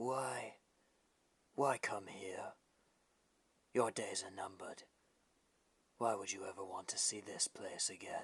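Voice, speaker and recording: A cartoonish character voice from a man, whispering at a fairly slow pace with long, frequent pauses. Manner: formal, courteous.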